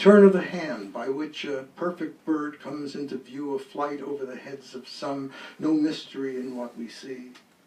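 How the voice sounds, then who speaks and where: Over noticeable background noise, a man with a fairly high pitch speaks at a moderate pace, his ordinary pitch variation paired with big swings in loudness. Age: 80s+. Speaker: poet. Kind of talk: casual chat; poetry reading. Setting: bookstore reading with audience. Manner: halting.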